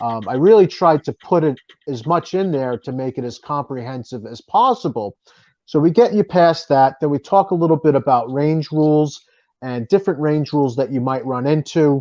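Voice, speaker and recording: This man has a strong Boston accent. He talks at a moderate pace in a fairly high-pitched voice. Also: lively intonation. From New Jersey. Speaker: author and firearms writer. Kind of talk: interview.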